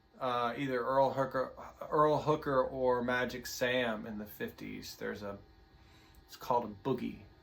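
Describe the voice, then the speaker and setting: With a Tennessee accent, a man talks at a moderate pace in a medium-pitched, relaxed tone, his intonation fairly even but his loudness swinging a lot, over noticeable background noise. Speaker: guitar teacher. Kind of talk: tutorial. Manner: halting.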